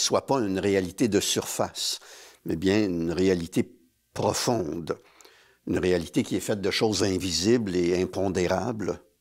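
Against a quiet background, a man speaks with a very deep, low pitch. He keeps a fairly slow pace and fairly even intonation. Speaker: theatre artist; guest. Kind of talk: interview; interview answer. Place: studio. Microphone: lapel.

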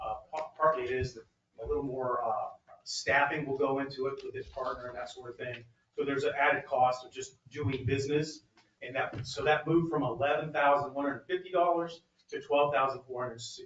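A man at a very fast pace, fairly even in intonation, with audible room echo and light background noise. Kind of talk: staff report to council. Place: hall.

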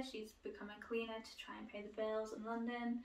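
A woman with a British accent speaks at a fairly high pitch, with audible room echo around her voice. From UK. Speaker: book YouTuber. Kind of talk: casual video monologue, book haul. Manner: hesitant, many fillers. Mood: relaxed, chatty. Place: home room. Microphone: camera far.

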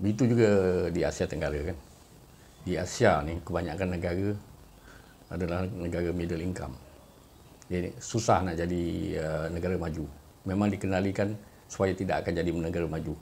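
A man with a very deep, low pitch speaks in fairly even intonation, taking long, frequent pauses over light background noise. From Malaysia. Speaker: YouTuber. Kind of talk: monologue commentary. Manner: hesitant, frequent uh fillers. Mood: calm, reflective. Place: home room. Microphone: phone near.

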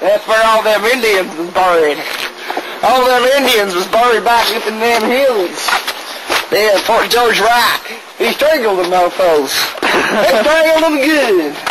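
A man with long, frequent pauses at a fairly slow pace, amid loud background noise. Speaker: amateur video host. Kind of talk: joking mock tour-guide banter. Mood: playful, goofing around. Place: street. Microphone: old recording.

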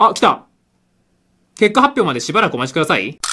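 A man's bright, sharp, high-pitched voice with very wide pitch swings, set against a quiet background. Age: 20s. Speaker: gaming YouTuber. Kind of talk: live reaction commentary. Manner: animated. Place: home room. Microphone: phone near.

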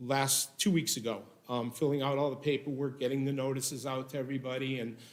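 In a space with audible room echo, a man talks at a moderate pace with a medium pitch. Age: 60s. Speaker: business owner applicant. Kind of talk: public meeting testimony. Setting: city hall meeting room. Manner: halting, many fillers.

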